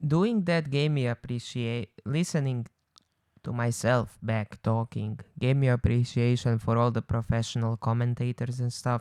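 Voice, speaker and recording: A man speaks at medium pitch with ordinary pitch variation. His moderate pace comes through a dry, close sound with no echo. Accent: Croatian. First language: Croatian. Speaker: podcast co-host. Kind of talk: casual chat. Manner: hesitant sentence starts, repeats first words.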